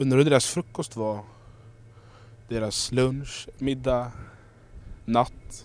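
A man speaks at a very slow pace with fairly even intonation. Long, frequent pauses break up his speech. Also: medium pitch for a man. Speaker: youth leader. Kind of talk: devotional. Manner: reflective.

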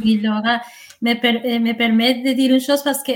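Speaking in a Spanish accent, a woman keeps a high pitch, fairly even intonation and a fairly slow pace. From Colombia. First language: Spanish (speaking French). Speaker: intercultural liaison worker. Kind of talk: interview.

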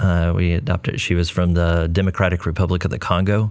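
A man with an American accent talks fairly quickly in a very deep, low pitch, keeping his intonation fairly even. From Texas, Corpus Christi. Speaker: creative agency CEO. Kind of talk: casual chat.

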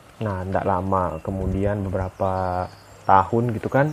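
Here a man talks at a fairly slow pace and fairly low pitch, in an ordinary speaking voice with ordinary pitch variation. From East Java, Ponorogo. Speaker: podcast guest. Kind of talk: casual chat.

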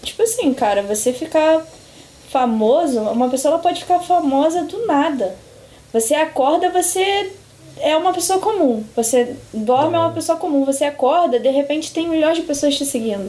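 A woman's high-pitched voice, with lively intonation, moves at a moderate pace. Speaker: psychologist. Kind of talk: casual chat.

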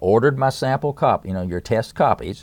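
Delivered at a fairly quick pace in an Appalachian accent, the speech has ordinary pitch variation on a very clean recording with a silent background. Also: man. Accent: Southern US (Appalachian). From East Tennessee, US. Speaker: musician and author. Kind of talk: interview. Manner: halting.

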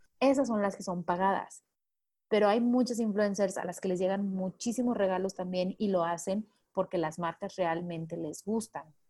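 A woman speaks with a dark, mellow tone at medium pitch. Her pace is moderate and her pitch variation ordinary. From Mexico, Manzanillo, Colima. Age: 20s. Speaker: public relations consultant. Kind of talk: interview.

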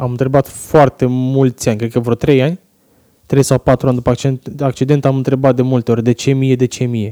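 A man's medium-pitched voice with a dark, mellow tone at a fairly quick pace, with a dry, close sound and no echo. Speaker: wheelchair user, former rugby player. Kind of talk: interview.

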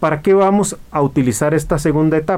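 A man's voice, fairly high in pitch. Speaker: radio host, marine aquarium hobbyist. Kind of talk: radio talk show, explanatory. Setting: radio studio.

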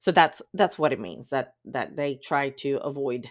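On a very clean recording with a silent background, a woman talks at a fairly slow pace in a very deep, low pitch. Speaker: podcast host. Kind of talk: casual solo podcast monologue.

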